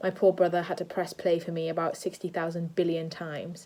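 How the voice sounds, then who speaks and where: With a British accent, a woman speaks very fast in a dark, mellow tone at a fairly low pitch, her intonation monotone and flat. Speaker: drama student and vlogger. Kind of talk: casual vlog. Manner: loud.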